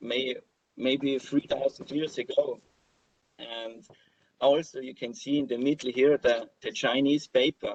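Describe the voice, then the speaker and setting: A man speaks at a fairly slow pace with an Austrian accent. The sound is dry and close, with no echo. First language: German. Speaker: crypto blogger and speaker. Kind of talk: conference talk with slides. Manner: halting, many fillers and repeats.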